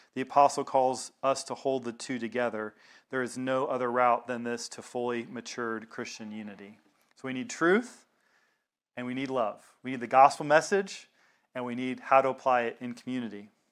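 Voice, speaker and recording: A man with a Southern US accent speaks at medium pitch with fairly even intonation. His loudness swings widely on a very clean recording with a silent background. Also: moderate pace. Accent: Southern American. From US South. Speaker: pastor. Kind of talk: sermon. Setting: congregation meeting in a synagogue.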